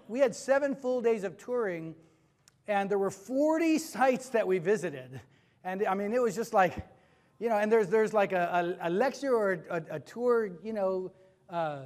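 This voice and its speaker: The background is quiet as a man talks at a moderate pace. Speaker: preacher. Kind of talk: sermon. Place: church.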